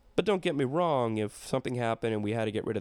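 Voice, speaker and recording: Talking at a very fast pace, a man keeps a medium pitch with ordinary variation, on a very clean recording with a silent background. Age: 40s. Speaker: comedian. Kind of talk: casual monologue. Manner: rambling, halting.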